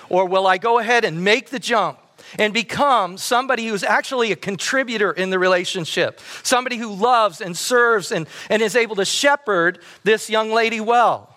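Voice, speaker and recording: A man's high, raised and projected voice at a moderate pace, with ordinary pitch variation. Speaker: pastor. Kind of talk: sermon. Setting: church.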